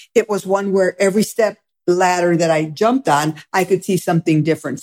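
A woman with an American accent has an ordinary speaking voice, a medium pitch with ordinary pitch variation, and a fairly quick pace. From Michigan. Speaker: sociology professor. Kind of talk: interview.

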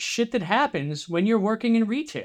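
Here a man speaks with a New Jersey accent. The recording is very clean, with a silent background. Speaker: musician. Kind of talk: casual chat.

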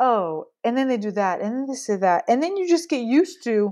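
Over a quiet background, a woman with an American accent speaks at a moderate pace, her dark, mellow tone set at a fairly high pitch with very wide pitch swings. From US Pacific Northwest. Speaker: missionary and baking teacher. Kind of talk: interview conversation.

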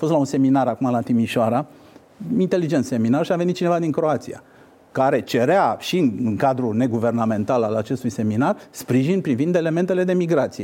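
Of medium pitch, a man speaks in a dark, mellow tone with lively intonation. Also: fairly quick pace. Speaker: politician and former diplomat. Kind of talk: interview.

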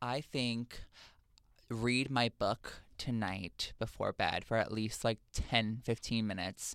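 A man talks at a very slow pace with a medium pitch and fairly even intonation. The sound is dry and close, with no echo. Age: 20s. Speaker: internet show host. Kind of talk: casual chat.

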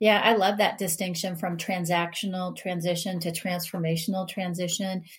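A woman with a medium pitch and a somewhat breathy voice talks in a monotone, flat intonation with hardly any pauses. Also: moderate pace. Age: 50s. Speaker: Air Force veteran, organizational consultant. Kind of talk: interview conversation.

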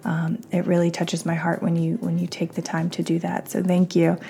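Her voice has a dark, mellow tone, somewhat breathy and fairly low in pitch, as the woman talks at a moderate pace. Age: 30s. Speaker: podcast host. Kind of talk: casual interview chat.

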